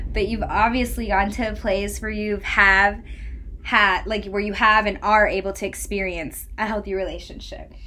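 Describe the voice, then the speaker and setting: A woman speaking at a moderate pace over noticeable background noise. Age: 20s. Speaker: podcast host. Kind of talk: casual chat. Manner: animated.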